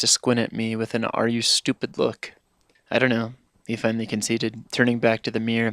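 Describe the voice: Against a quiet backdrop, a passage is given plain reading aloud.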